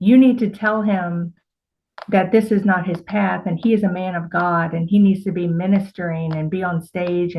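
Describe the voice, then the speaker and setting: In a put-on character voice, a female-sounding speaker delivers loud, booming lines at a middle pitch and a moderate pace. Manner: commanding, prophetic.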